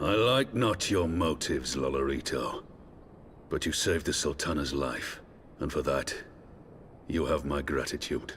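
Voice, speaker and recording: Delivered in a put-on character voice with lively intonation and very even loudness, the speech moves at a moderate pace with long, frequent pauses over clear background noise. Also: man, very deep, low pitch for a man. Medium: video game. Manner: forceful, gruff.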